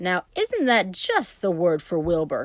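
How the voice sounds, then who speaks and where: In a growling put-on character voice, a woman speaks at a medium pitch and a fairly slow pace. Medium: read story. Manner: brisk, hearty.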